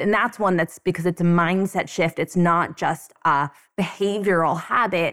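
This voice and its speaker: Using a normal speaking voice, a woman speaks at a moderate pace and fairly low pitch, with fairly even intonation, very even loudness, and a dry, close sound with no echo. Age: 30s. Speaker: law school dean and professor. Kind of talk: interview.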